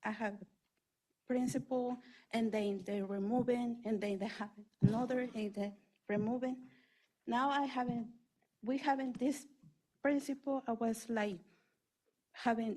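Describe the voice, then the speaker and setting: A woman with a non-native accent speaks at a fairly slow pace, with long, frequent pauses. Her fairly high pitch carries a dark, mellow tone and fairly even intonation. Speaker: parent giving public comment. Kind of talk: public comment. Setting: school board meeting. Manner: halting.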